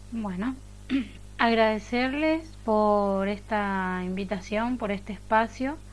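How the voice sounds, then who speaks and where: Speaking at a very slow pace, a woman uses a medium pitch with ordinary pitch variation. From Paraguay. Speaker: university student. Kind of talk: round table talk.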